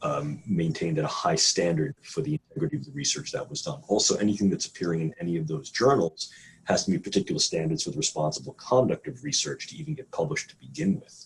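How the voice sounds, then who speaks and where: A man with a New York accent talks very fast with hardly any pauses, vocal fry, very wide pitch swings and big swings in loudness. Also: medium pitch for a man. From New York City. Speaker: neuroscientist. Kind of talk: interview. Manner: some hesitations and repeated words.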